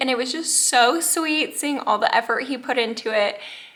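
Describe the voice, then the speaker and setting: A woman speaks at a high pitch with ordinary pitch variation over noticeable background noise. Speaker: vlogger. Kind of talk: casual vlog update.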